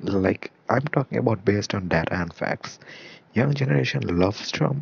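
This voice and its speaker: A man speaks with a very deep, low pitch. His pitch swings very widely. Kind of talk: solo commentary podcast.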